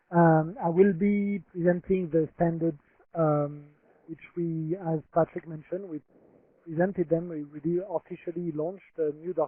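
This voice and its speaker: A man talks in a French accent at a high pitch. His intonation is monotone and flat. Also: moderate pace, big swings in loudness. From France. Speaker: humanitarian protection expert. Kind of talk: presentation. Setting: webinar. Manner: halting.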